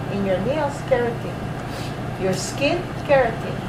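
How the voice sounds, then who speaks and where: A woman speaks at a fairly slow pace. Her voice carries audible room echo, with noticeable background noise behind it. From Philippines. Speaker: college anatomy and physiology instructor. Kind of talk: lecture.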